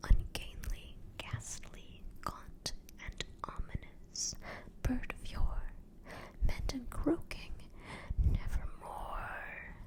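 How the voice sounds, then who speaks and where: Whispering, a woman speaks at a very slow pace. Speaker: ASMR artist. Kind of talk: poetry reading. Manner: soft-spoken, whispered.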